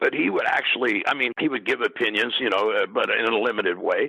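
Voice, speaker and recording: A man with a Midwestern accent at a fairly quick pace. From US Midwest. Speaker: retired pro wrestler and wrestling announcer. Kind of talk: interview. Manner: halting.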